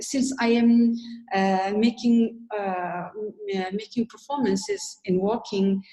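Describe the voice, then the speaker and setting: A woman's somewhat breathy voice, dark and mellow in tone, at a medium pitch and a fairly slow pace with fairly even intonation. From Afghanistan. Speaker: artist. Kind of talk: artist talk. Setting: video call. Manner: halting.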